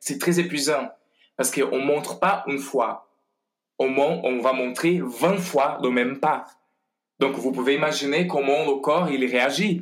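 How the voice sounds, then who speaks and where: A man with a Portuguese accent, fairly high in pitch, at a fairly slow pace. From Brazil. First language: Portuguese (speaking French). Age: 40s. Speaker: ballet master, former dancer. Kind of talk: interview. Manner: halting, many hesitations.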